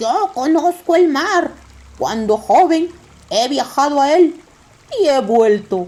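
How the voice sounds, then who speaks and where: A put-on character voice, high in pitch, moves at a fairly slow pace with long, frequent pauses. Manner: proud, swaggering.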